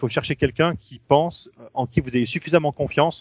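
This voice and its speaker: The man's pitch varies in an ordinary way while his pace stays fairly quick. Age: 40s. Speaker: new father. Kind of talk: interview. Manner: halting. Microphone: poor sound quality.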